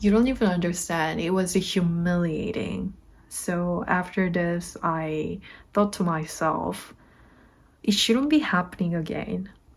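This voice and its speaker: In a very clean recording with a silent background, a woman with a Korean accent speaks at a fairly slow pace with ordinary pitch variation. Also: fairly low pitch for a woman. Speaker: vlogger. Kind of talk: casual vlog monologue.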